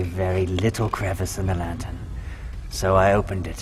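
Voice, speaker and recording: Noticeable background noise sits behind a man speaking at a moderate pace in a very deep, low voice. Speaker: voice actor. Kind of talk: horror story narration.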